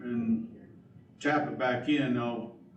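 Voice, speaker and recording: A man's medium-pitched voice with noticeable background noise and audible room echo. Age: 60s. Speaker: county drainage board official. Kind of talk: public board meeting discussion.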